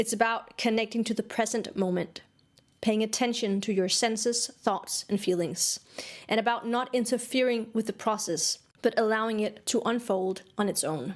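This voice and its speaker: With a Danish accent, a woman speaks at a moderate pace in a fairly high voice with fairly even intonation. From Denmark. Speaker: songwriting teacher. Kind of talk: online course lecture.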